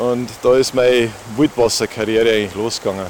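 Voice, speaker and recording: In a Bavarian accent, a man talks at medium pitch and a moderate pace over noticeable background noise. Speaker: whitewater kayaker and kayak instructor. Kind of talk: casual chat. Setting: outdoors by a stream.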